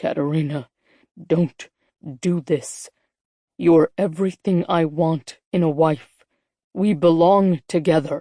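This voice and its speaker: Using a put-on character voice, a woman speaks fairly low and fairly slowly in an intense tone, with fairly even intonation and long, frequent pauses. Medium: read story. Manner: intense, low.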